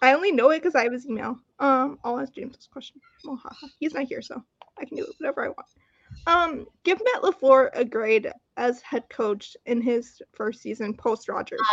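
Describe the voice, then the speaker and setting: Loudness swings widely while the pace stays moderate and the intonation lively. The sound is dry and close, with no echo. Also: woman, high pitch for a woman. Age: 20s. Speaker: podcast host. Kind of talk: casual chat. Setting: video call.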